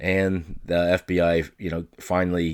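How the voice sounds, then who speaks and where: A man speaks at a very deep, low pitch with fairly even intonation. It is a very clean recording with a silent background. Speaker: solo sports and chat podcast host. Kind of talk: casual monologue.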